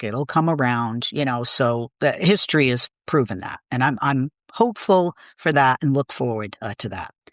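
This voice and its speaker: The speaker has a Boston accent, heard against a quiet background. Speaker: political commentator. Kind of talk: interview conversation.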